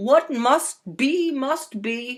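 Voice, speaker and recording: This is a put-on character voice. It is pitched high. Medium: read story. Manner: grumbling.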